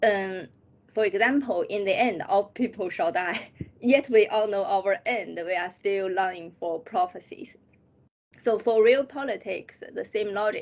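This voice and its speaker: A woman with a Chinese accent speaks fairly slowly at a medium pitch, with ordinary pitch variation. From China. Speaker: PhD student. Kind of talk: interview. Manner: halting.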